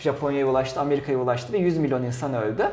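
A fairly high-pitched man talking at a very fast pace, with audible room echo and noticeable background noise. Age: 20s. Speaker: podcast co-host. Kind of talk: casual chat.

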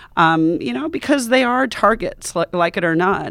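A woman speaks with a Western US accent at a fairly low pitch. Her pace is moderate. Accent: General American, western US. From US Mountain West (Montana and Wyoming). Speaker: journalist, foreign correspondent. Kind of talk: interview, casual chat. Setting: studio.

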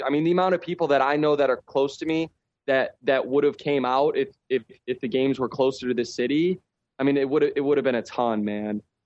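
An unremarkable speaking voice at a fairly quick pace, with ordinary pitch variation and dry, close sound with no echo. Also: man. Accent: American. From Chicago. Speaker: professional soccer player. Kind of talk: casual chat. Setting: remote call.

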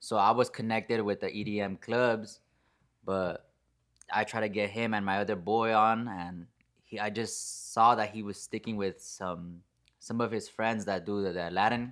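A man with a normal speaking voice talks at a moderate pace with an American accent. His pitch is fairly low and his intonation fairly even. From San Fernando Valley, California. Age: 20s. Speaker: DJ. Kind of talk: casual chat.

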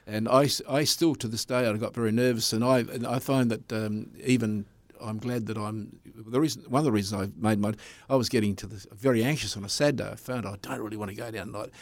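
With an Australian accent, a man speaks at a medium pitch using fairly even intonation. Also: fairly quick pace. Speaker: speedway commentator. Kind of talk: interview.

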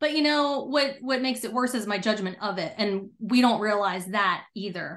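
A woman speaks in a normal speaking voice, fairly high in pitch with ordinary pitch variation, at a moderate pace with hardly any pauses. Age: 40s. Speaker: Navy veteran and mental performance coach. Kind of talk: interview.

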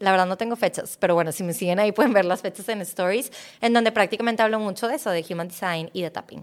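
Very fast speech in a Mexican accent, with ordinary pitch variation and a very clean recording on a silent background. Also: woman, medium pitch for a woman. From Mexico. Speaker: mindset coach. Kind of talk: interview.

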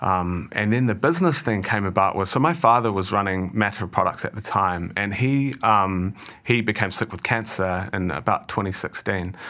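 In a New Zealand accent, a man with a bright, sharp tone and a fairly low pitch speaks with ordinary pitch variation and hardly any pauses. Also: moderate pace. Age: 30s. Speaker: managing director. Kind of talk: interview.

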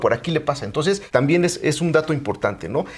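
Noticeable background noise behind fairly quick talking. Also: man. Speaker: physician. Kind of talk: interview.

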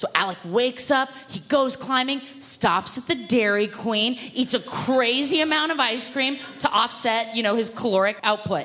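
A woman with a high pitch at a moderate pace, hardly any pauses, ordinary pitch variation and noticeable background noise. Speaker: comedian. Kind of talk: comedic storytelling.

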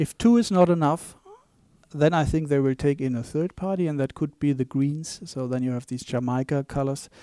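Dry and close with no echo, a man speaks with a German accent at a fairly high pitch. His tone is dark and mellow, with ordinary pitch variation. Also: moderate pace. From Germany. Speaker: bank economist. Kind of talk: interview. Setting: studio. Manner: halting.

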